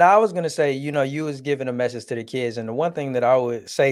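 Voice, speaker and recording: With an American accent, a man speaks at a fairly quick pace with ordinary pitch variation. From Detroit area, Michigan. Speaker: podcast host. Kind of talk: casual chat. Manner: animated.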